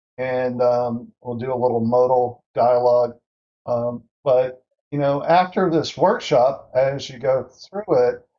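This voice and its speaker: At a very slow pace, a man speaks at medium pitch with ordinary pitch variation. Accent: Southern US. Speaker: workshop instructor. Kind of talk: online workshop tutorial. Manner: casual with many fillers.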